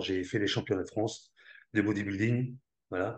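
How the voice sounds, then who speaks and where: The voice is somewhat breathy, with monotone, flat intonation. It moves at a moderate pace against a quiet background. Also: man. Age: 60s. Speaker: former army commando, network marketer. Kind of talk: interview. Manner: halting.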